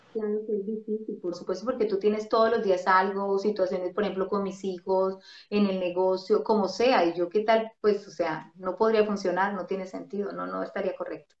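A woman speaks at a medium pitch in a flat monotone, with hardly any pauses. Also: moderate pace. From Colombia, Bogotá. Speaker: radio host and ministry figure. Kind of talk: interview, casual testimony. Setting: video call.

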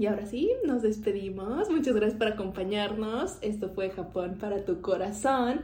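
Someone speaks at a moderate pace with ordinary pitch variation, and audible room echo surrounds the voice. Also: woman, fairly high pitch for a woman. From Mexico. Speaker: podcast host. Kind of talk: casual chat.

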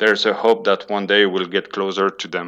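A man speaks with a French accent. His pitch sits fairly low. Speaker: data analyst, hockey stats site creator. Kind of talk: casual chat.

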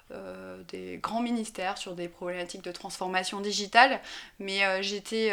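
A woman at a fairly slow pace. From France, Drôme provençale (rural southeast). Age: 20s. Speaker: senior local civil servant. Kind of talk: interview. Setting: at her home. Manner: hesitant, many fillers and repetitions.

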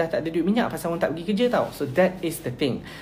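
A very fast, high-pitched man's voice with ordinary pitch variation, amid noticeable background noise. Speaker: NGO volunteer leader. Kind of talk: live stream talk. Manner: code-switching Malay and English.

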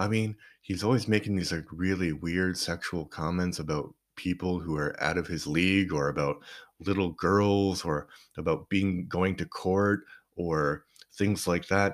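In a Canadian accent, a man with a very deep, low pitch speaks fairly slowly with fairly even intonation on a very clean recording with a silent background. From Canada. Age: 40s. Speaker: podcast host and poet. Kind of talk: casual monologue.

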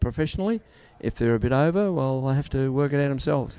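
In an Australian accent, a man talks at medium pitch with ordinary pitch variation and a dark, mellow tone. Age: 70s. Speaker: sprint coach for boxers. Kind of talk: casual interview. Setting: backstage at a boxing event.

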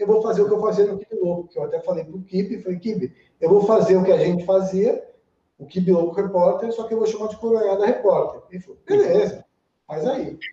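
Talking at a fairly quick pace, a man uses a high pitch and lively intonation. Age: 30s. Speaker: TV presenter and internet video pioneer. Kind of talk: casual interview chat. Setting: live-streamed podcast studio.

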